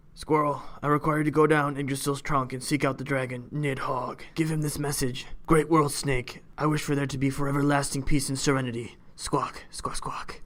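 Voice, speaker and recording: A man puts on a raspy character voice with a fairly high pitch. He talks at a moderate pace with hardly any pauses. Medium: read story. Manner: haughty, imperious.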